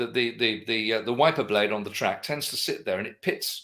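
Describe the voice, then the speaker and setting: In a London accent, a man talks at a medium pitch with a bright, sharp tone. The recording is very clean and the background silent. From London, England. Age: 60s. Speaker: guitarist and vintage guitar dealer. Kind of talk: interview. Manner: fast.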